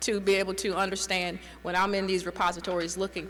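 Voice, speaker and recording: Noticeable noise behind a woman speaking at medium pitch. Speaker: private historian and genealogy presenter. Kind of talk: conference presentation. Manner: halting.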